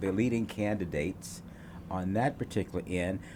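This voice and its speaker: A man's fairly low, plain, everyday voice at a moderate pace. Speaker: TV talk show host. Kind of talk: casual panel talk show.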